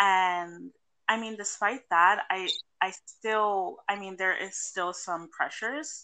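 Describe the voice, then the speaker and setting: Very slowly, a woman speaks at a medium pitch with ordinary pitch variation and a bright, sharp tone. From Puerto Rican heritage, US Northeast. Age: 20s. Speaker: sex worker. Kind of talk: casual interview. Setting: remote call.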